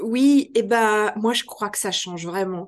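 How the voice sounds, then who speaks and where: With an unremarkable speaking voice, a woman talks fairly slowly in a fairly high pitch against a quiet background. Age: 50s. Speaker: trainer and author on adult education. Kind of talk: interview.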